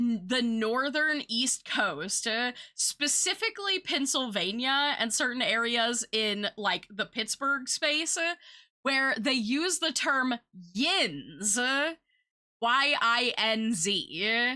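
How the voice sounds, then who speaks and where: This woman speaks very slowly with a high pitch, a bright, sharp tone, lively intonation and very even loudness in an American accent, on a very clean recording with a silent background. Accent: noticeable US accent, often commented on. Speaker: streamer. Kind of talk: casual chat. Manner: many fillers, halting.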